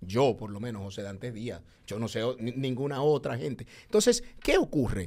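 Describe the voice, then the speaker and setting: A man talks at a moderate pace with ordinary pitch variation and big swings in loudness. The background is quiet. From Dominican Republic. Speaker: public servant. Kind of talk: heated debate. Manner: animated. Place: studio. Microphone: studio mic.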